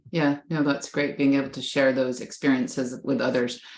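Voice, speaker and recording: A woman with a North American accent talks at a moderate pace in a very deep, low voice. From Canada and the US. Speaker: professor, panel moderator. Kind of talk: panel moderation. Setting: video call.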